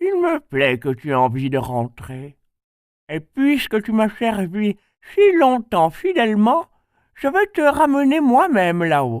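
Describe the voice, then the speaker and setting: A man puts on a high-pitched character voice with very wide pitch swings. He goes at a fairly slow pace, and the recording is very clean with a silent background. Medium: read story. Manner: kindly, gentle.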